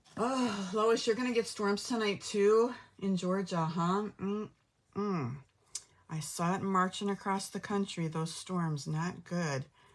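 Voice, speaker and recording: At a very slow pace, a woman speaks with a medium pitch and ordinary pitch variation. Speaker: craft demonstrator. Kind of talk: live craft tutorial. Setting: livestream. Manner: hyper, energetic.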